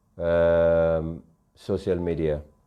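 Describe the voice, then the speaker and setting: This is a man speaking. He talks with a West African accent. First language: Mandinka. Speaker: online show host. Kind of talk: live social media commentary. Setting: Facebook live stream.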